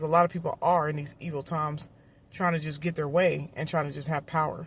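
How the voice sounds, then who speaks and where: Very clean recording of a woman, somewhat breathy, against a silent background. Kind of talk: testimony. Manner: fast.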